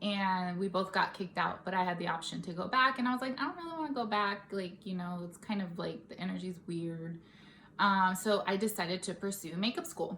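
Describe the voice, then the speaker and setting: Noticeable background noise sits behind a woman speaking fairly quickly with an American accent. Her medium-pitched voice shows ordinary pitch variation. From California, Stockton. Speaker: makeup artist and beauty vlogger. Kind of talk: casual vlog chat. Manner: casual, with many fillers.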